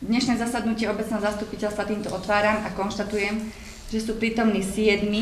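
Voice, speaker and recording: Light background noise and audible room echo accompany the woman as she talks at a fairly quick pace. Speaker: village mayor. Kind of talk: formal meeting chairing. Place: meeting room. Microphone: podium.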